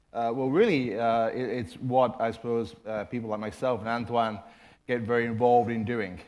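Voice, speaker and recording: Against audible room echo, a man speaks at a medium pitch with fairly even intonation. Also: moderate pace. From Ireland. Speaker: management consultant and former corporate IT executive. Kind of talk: conference presentation.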